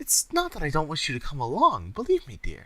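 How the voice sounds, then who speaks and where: A man delivers a put-on character voice at a fairly quick pace. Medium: read story. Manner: crooning, posh.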